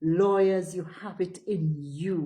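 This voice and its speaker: Here a woman is speaking. Her voice is somewhat breathy. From St. Vincent and the Grenadines. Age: 60s. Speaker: political party spokesperson. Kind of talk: political address. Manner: animated.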